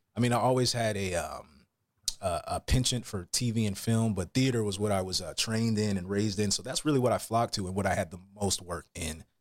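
A man talks in a normal speaking voice, fairly low in pitch, at a fairly quick pace with ordinary pitch variation. The recording is very clean, with a silent background. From US South, Atlanta, Georgia. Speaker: actor and voiceover actor. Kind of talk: casual interview.

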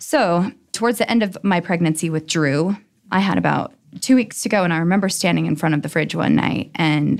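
A woman speaks with an American accent at a fairly quick pace. Her pitch is fairly low with ordinary variation and some vocal fry. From Utah, US. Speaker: dancer and business owner. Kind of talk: interview. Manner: animated.

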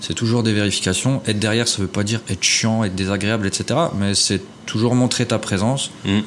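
Fairly low-pitched man at a moderate pace, fairly even intonation, noticeable background noise. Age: 30s. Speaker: property investor. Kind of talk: interview.

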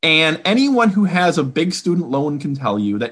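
Over a quiet background, a man with an American accent and a fairly high pitch talks at a moderate pace, his pitch swinging very widely. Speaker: budget policy economist. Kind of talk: interview.

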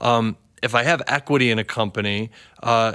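Medium in pitch, a man's voice comes across with a bright, sharp tone. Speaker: tech company CEO. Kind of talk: interview.

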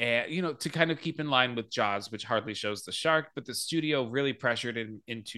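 A bright, sharp tone in an American accent at a fairly quick pace. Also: man, quiet background. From Arizona, US. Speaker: podcast host. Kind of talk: casual chat.

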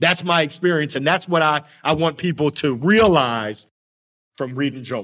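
A man is speaking in a fairly high voice. His pitch varies in an ordinary way. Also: moderate pace. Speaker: sales trainer and motivational speaker. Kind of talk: interview. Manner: enthusiastic.

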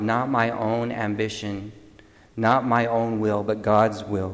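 The voice comes at a fairly slow pace with audible room echo. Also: man. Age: 50s. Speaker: deacon. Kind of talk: homily.

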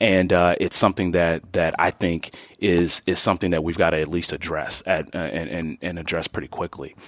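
A man with a very deep, low pitch and an American accent, at a moderate pace with fairly even intonation, in a dry, close sound with no echo. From Milwaukee, Wisconsin (born Chicago South Side). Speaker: health care executive. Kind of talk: interview. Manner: halting, many fillers and repeats.

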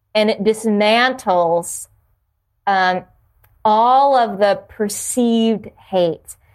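Pausing long and often, a woman with an American accent speaks very slowly at a fairly high pitch with fairly even intonation. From New Jersey (South Jersey). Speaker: yoga studio owner. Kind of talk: casual chat.

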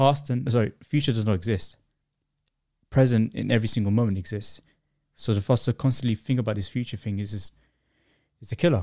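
A man with a London accent speaks very fast at a medium pitch in a dark, mellow tone, with ordinary pitch variation and long, frequent pauses. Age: 20s. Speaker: video creator. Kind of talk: casual chat. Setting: studio. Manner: fast talker; halting, repeats words.

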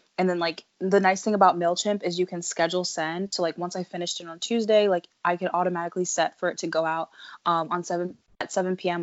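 Someone with an American accent talks at a very fast pace in a monotone, flat way. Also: woman, fairly low pitch for a woman. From US, Delaware/Philadelphia area. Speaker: student entrepreneur and author. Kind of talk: interview.

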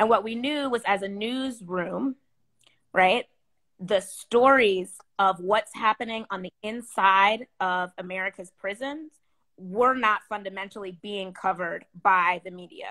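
A woman talks at a fairly slow pace with medium pitch, ordinary pitch variation and a bright, sharp tone, her loudness swinging widely. The sound is dry and close with no echo, in a very clean recording with a silent background. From US, military family upbringing. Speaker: poet and magazine editor. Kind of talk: panel discussion.

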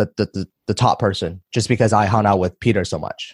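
The recording is very clean with a silent background and a dry, close sound with no echo, as a man speaks in a fairly low pitch with fairly even intonation. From China, raised in Vancouver from age 10. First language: Chinese. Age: 20s. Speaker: entrepreneur and online course seller. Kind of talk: podcast interview.

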